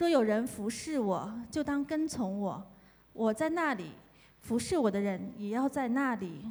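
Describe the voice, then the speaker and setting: A woman speaks with a Chinese accent at a moderate pace. Her voice is fairly high, and her pitch swings very widely. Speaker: scripture reader. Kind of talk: reading aloud.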